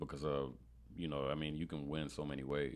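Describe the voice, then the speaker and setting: With a New York accent, a man talks at a fairly quick pace. His pitch is very deep and low, with vocal fry. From Brooklyn, New York (born in Panama). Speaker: marketing specialist and real estate investor. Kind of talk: podcast interview. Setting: studio.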